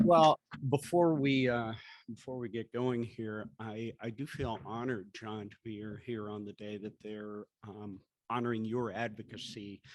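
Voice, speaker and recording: A man talks in an ordinary speaking voice at a medium pitch and a moderate pace. His pitch varies in an ordinary way, while his loudness swings widely. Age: 60s. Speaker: TV news anchor. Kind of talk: talk to an audience. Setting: breakfast event with audience.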